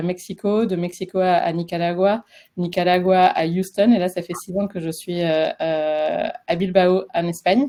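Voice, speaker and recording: A woman with a southwestern French accent speaks very slowly in a dark, mellow tone at a fairly low pitch. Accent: sing-song southwestern French. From French Basque Country. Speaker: career transition coach. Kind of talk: webinar presentation. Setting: live webinar. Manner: hesitant, many fillers.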